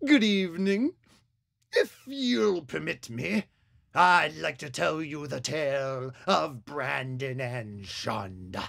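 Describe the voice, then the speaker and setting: In a put-on character voice at a low-to-middle pitch, the speaker goes at a very slow pace, captured in a very clean recording with a silent background. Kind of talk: 1950s horror-host narration. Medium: short film. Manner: formal, wry, mock-solemn.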